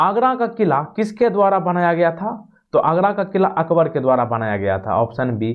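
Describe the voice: The man's voice is fairly high, with lively intonation. He keeps a moderate pace.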